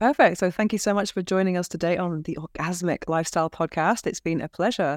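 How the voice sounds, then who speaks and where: A woman in a British accent, fairly low-pitched, at a very fast pace with hardly any pauses and ordinary pitch variation, over a very clean recording and silent background. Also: dry, close sound with no echo. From England. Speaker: podcast host. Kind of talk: interview podcast.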